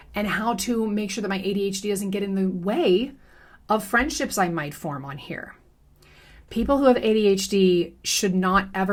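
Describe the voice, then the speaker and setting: Her intonation is lively, at a medium pitch for a woman. She sounds somewhat breathy and keeps a moderate pace. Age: 30s. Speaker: commentary youtuber. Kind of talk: personal commentary monologue.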